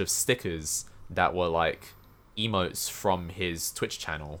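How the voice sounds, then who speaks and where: A man with a London accent at a fairly slow pace, on a very clean recording with a silent background. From England. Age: 20s. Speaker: Twitch streamer. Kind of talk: casual chat.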